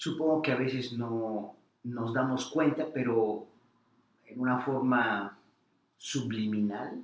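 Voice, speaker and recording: In a central Mexican accent, the speaker goes at a very slow pace with long, frequent pauses and fairly even intonation. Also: man, medium pitch for a man. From Mexico, Puebla. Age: 60s. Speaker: interviewee, immigrant academic. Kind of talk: interview.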